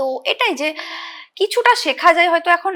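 A woman's raised, projected voice, extremely high in pitch, with very wide pitch swings and a bright, sharp tone. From Hooghly district, West Bengal, India. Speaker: nursing student and dancer. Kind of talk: interview. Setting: studio.

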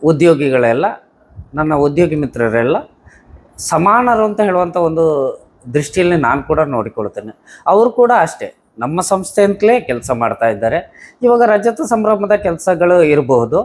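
A man speaks with a high pitch. His voice swings very widely up and down. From Karnataka, Dakshina Kannada (Bilinele); Karnataka, India. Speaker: visually impaired business owner. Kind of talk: interview. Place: home room. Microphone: lapel.

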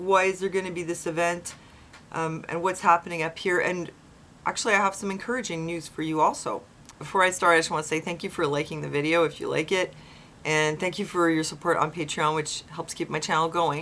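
A woman speaks with fairly even intonation at a fairly quick pace and a fairly low pitch. She has an unremarkable speaking voice. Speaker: vlogger. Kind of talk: casual vlog chat. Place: home room. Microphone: webcam.

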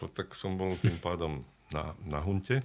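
A man talks in a very deep, low pitch with vocal fry. His pace is fairly slow. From Slovakia. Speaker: actor and dubbing voice actor. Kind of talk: interview answer. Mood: animated storytelling anecdote. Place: studio. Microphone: studio mic.

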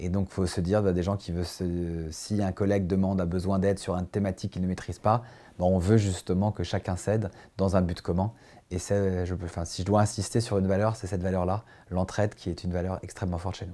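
Speaking at a fairly quick pace, a man uses a very deep, low pitch and a dark, mellow tone with monotone, flat intonation. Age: 40s. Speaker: company CEO. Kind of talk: corporate recruitment interview. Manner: hesitant, many fillers and repetitions. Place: office. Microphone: lapel.

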